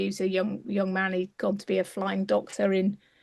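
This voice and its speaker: The speaker is a woman with an English accent. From England. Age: 60s. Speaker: clinical psychologist. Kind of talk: interview. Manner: halting.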